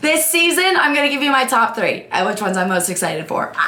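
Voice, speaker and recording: A woman speaks in a high pitch with an energetic tone. Her pitch swings very widely. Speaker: sports content creator. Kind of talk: casual talk to camera. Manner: energetic, chatty.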